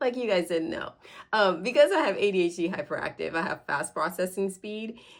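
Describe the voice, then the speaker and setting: A woman has an unremarkable speaking voice. She talks at a fairly quick pace with lively intonation. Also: medium pitch for a woman. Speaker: parenting educator. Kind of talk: casual explainer video. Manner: casual, filler words.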